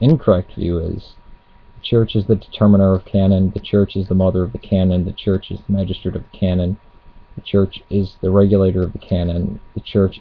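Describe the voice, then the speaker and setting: A man with a very deep, low pitch talks at a fairly quick pace in a somewhat breathy voice. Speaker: religious video blogger. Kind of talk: casual webcam monologue on theology.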